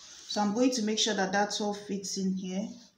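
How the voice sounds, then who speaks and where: A fairly slow pace with audible room echo and light background noise. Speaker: sewing tutor. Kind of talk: tutorial.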